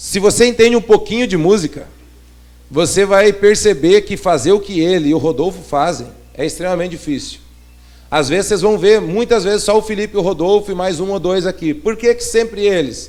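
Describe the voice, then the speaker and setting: A man talks at a fairly quick pace in a high voice with ordinary pitch variation. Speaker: pastor. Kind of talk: sermon. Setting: church. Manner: fast.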